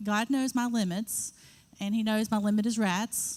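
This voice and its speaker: Fairly high female voice, intonation fairly even. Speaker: missionary. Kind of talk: testimony. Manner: fast.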